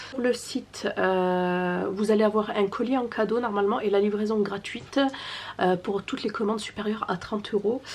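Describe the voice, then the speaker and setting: Soft-spoken and fairly slow, a woman speaks at a medium pitch with fairly even intonation. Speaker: family vlogger. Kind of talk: sales pitch; casual vlog. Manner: hesitant.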